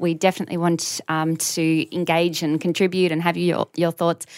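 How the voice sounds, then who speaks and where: In a very clean recording with a silent background, a woman with an Australian accent speaks at a moderate pace in a fairly low voice. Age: 30s. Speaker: podcast co-host. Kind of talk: casual chat.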